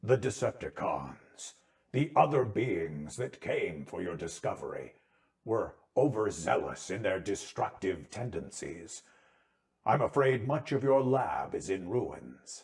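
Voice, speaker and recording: A man uses a put-on character voice at a medium pitch. He speaks at a fairly slow pace. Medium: read story. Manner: formal, measured, compassionate.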